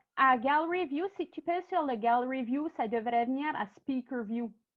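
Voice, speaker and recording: A woman speaks in an Acadian accent at a high pitch. Her intonation is lively. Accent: Acadian French (chiac). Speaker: workshop presenter. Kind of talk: online workshop presentation. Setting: video call. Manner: hesitant, many fillers.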